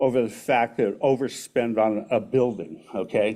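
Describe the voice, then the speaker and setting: Recorded very cleanly with a silent background, a man with an American accent speaks in a dark, mellow tone. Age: 70s. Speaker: public commenter at council meeting. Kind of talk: public comment speech. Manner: impassioned.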